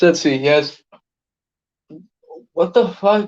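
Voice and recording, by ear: A man speaks at a slow pace with a fairly high pitch and ordinary pitch variation. His tone is slightly mellow.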